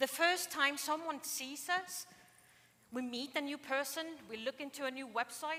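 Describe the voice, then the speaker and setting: In a strong Icelandic accent, a woman uses a raised, projected voice with a high pitch and a bright, sharp tone, moving at a moderate pace with big swings in loudness. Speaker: conference speaker. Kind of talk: keynote talk. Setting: stage with audience.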